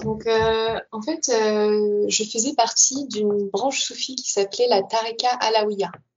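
Fairly high in pitch, a woman speaks in an ordinary speaking voice. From Paris region, France. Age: 20s. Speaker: former Sufi, podcast guest. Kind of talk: interview testimony.

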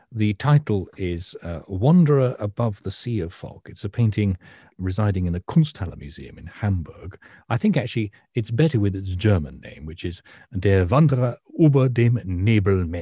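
With a dark, mellow, somewhat breathy tone, a man talks at a moderate pace, his loudness swinging widely in a dry, close recording with no echo. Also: fairly low pitch for a man, lively intonation, very clean recording, silent background. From northern England. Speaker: art historian and podcast co-host. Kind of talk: casual chat.

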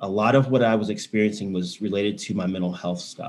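Music plays behind a man with a Texan accent who speaks at a moderate pace, fairly low in pitch, with ordinary pitch variation. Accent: Texan American. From Texas, Houston. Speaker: sober bar owner and counsellor. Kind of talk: testimony in interview.

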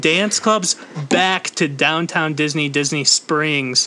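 Through noticeable background noise, a man talks at a very slow pace with a high pitch. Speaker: podcast host. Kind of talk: casual chat.

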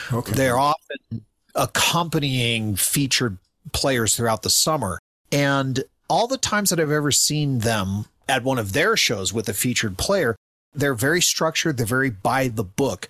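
A man with a normal speaking voice and a medium pitch uses lively intonation at a moderate pace. His loudness is very even, and the sound is dry and close with no echo. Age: 50s. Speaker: podcast co-host, guest. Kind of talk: casual chat.

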